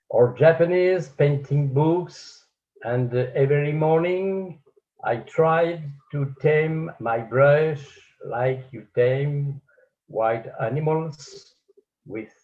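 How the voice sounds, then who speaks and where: The speaker is somewhat breathy, moving at a very slow pace with ordinary pitch variation. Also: man, long, frequent pauses. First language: French. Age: 80s+. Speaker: painter and art teacher. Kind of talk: conference talk. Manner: halting.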